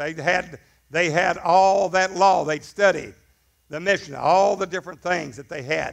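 A man at a high pitch, a moderate pace and ordinary pitch variation, in a quiet background. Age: 60s. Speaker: pastor. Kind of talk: sermon. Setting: church. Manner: animated. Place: church. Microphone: headset.

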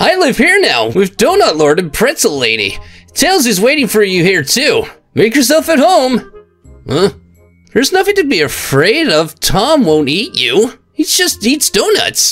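In a put-on character voice with an extremely high pitch, a man speaks at a moderate pace while faint music plays behind him. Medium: virtual streamer. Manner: cocky, casual.

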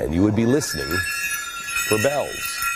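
A man speaks at a moderate pace with clear music in the background. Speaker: TV show host. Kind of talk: storytelling monologue. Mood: earnest, reflective storytelling. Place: studio. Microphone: lapel.

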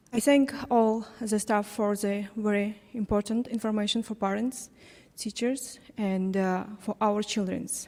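In a non-native accent, a woman talks at a fairly slow pace. Her fairly high voice stays monotone and flat. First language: not English. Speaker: parent. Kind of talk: public comment at town hall. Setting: council chamber town hall. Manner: halting.

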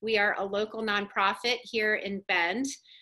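Over a quiet background, a woman with a bright, sharp tone talks with ordinary pitch variation. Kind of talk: webinar presentation. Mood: warm, friendly. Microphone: webcam.

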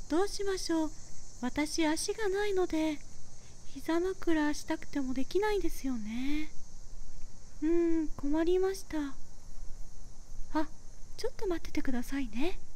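A put-on character voice is performed at a moderate pace over clear background noise. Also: woman, extremely high pitch for a woman. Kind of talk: ASMR roleplay. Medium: solo performance. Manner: very polite, soft-spoken.

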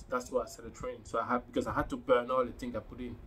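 This is a man speaking. Light background noise can be heard behind him. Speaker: fitness vlogger. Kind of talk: casual vlog chat. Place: home room. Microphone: phone near.

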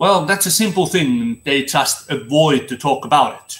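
Pitch variation stays ordinary as the man talks. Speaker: former seaman vlogger. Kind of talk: casual vlog commentary. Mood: earnest, critical. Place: home room. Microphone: webcam.

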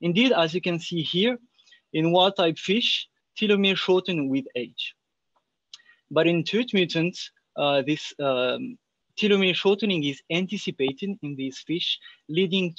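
Against a quiet background, a man speaks at a fairly slow pace with a dry sound that has no echo. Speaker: presenter. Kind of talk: lecture. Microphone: webcam.

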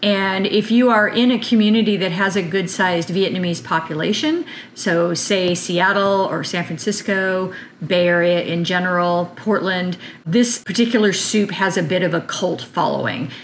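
A woman talks at a moderate pace with ordinary pitch variation. There is light background noise. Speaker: farm vlogger. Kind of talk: cooking tutorial intro chat. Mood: warm, enthusiastic. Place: kitchen. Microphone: camera far.

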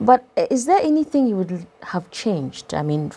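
A woman talks at a moderate pace with very wide pitch swings. Noticeable background noise is present. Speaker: radio host. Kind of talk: casual interview. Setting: studio.

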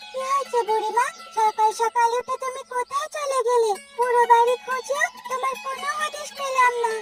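A woman performs a cartoonish character voice at an extremely high pitch, with fairly even intonation and a fairly slow pace. The sound is dry and close with no echo, and faint music plays in the background. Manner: eager, cheerful.

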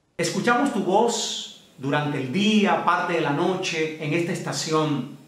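A man talks at a high pitch with ordinary pitch variation. Audible room echo surrounds his voice. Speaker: interviewer, news channel host. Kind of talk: interview questions. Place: home room.

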